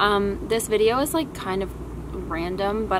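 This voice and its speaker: Noticeable background noise sits behind the speech. A woman talks at a fairly slow pace. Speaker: vlogger. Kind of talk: casual vlog chat. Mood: cheerful, relaxed. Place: garden.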